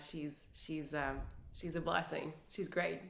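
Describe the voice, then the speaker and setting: Audible echo from the room around a woman's fairly low voice, delivered at a moderate pace. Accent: Quebec. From Quebec City, Canada. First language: French. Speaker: business executive. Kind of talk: casual interview.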